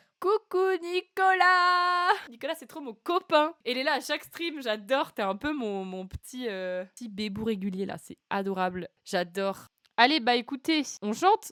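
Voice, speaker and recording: In a very clean, dry, close recording with no echo and a silent background, a woman speaks at a high pitch in an animated tone. Her pace is fairly slow with hardly any pauses, and both her pitch and loudness swing widely. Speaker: singer-songwriter streamer. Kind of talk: casual live stream chat. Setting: live stream.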